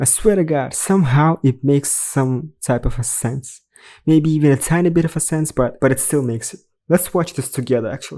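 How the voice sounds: A man talks at a moderate pace in a medium pitch. His tone is dark and mellow, with ordinary pitch variation.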